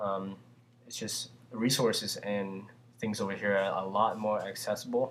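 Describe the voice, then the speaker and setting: Speaking in a Vietnamese accent, a man uses a fairly low pitch and a monotone, flat intonation at a moderate pace. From Vietnam, Saigon. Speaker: immigrant answering student questions. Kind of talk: casual q&a monologue. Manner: hesitant, with fillers.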